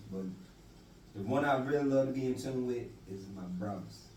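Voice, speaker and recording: A man's lively voice in a Southern Louisiana accent, with audible room echo and noticeable background noise. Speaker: podcast host. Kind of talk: casual chat.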